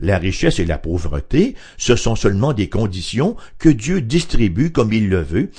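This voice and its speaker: Somewhat breathy with a dark, mellow tone, a man speaks at a fairly slow pace. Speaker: radio Bible teacher. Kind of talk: radio Bible study talk.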